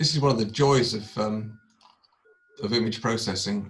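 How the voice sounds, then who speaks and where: The man speaks with ordinary pitch variation. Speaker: astrophotography presenter. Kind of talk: tutorial. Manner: fast.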